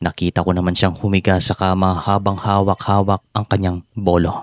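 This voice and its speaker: Speech at a moderate pace comes through with a dry, close sound and no echo. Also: man, very clean recording, silent background. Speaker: horror story narrator. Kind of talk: reading aloud. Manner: relaxed.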